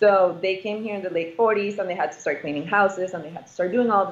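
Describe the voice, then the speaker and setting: A woman talks in an ordinary speaking voice with medium pitch and ordinary pitch variation. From immigrant family, moved to US as child. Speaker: real estate investor. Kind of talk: interview.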